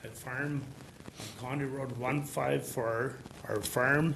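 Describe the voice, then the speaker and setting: A man with an American accent talks at a very slow pace, medium pitch and fairly even intonation. Audible room echo and noticeable background noise surround him. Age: 70s. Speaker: farmer. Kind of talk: public hearing testimony. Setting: at a microphone in a public meeting.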